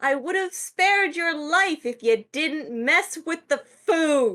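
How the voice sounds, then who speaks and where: Shouting in a put-on character voice, a woman with a high pitch speaks at a fairly slow pace. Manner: yelling.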